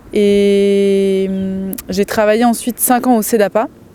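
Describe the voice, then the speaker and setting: A woman's medium-pitched voice, fairly even in intonation, comes through noticeable background noise. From Loir-et-Cher, Loire valley, France. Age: 30s. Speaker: dairy farmer. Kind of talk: interview testimony. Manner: hesitant, frequent fillers.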